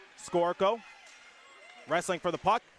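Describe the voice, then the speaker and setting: A high-pitched man in a dry, close sound with no echo, over noticeable background noise. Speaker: sports play-by-play announcer. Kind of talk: hockey play-by-play commentary. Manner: fast.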